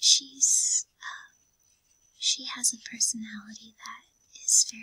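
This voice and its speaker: Soft-spoken whispering in an American accent. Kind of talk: ASMR art book reading. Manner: soft-spoken, whispered.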